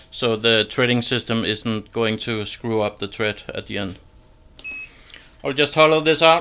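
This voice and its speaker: Speech comes at a fairly slow pace in a Danish accent, with long, frequent pauses. Noticeable background noise runs underneath. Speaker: woodturner. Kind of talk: livestream tutorial. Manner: halting.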